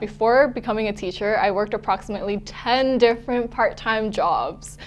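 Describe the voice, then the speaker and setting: A woman with a Canadian accent speaks at a fairly high pitch with hardly any pauses. Music plays in the background. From western Canada, Vancouver. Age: 20s. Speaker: network marketing distributor. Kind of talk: testimony.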